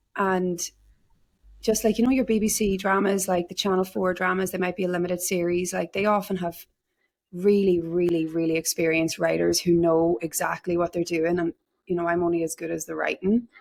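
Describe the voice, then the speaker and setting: A woman speaks with an Irish accent. Her voice is fairly low, with fairly even intonation. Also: fairly quick pace. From Ireland, small town. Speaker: actor. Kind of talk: interview. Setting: remote call. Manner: casual, many fillers.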